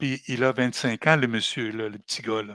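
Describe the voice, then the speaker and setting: A medium-pitched male voice with fairly even intonation, in a very clean, dry, close recording with no echo and a silent background. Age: 70s. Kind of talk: podcast interview. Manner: halting, with repetitions.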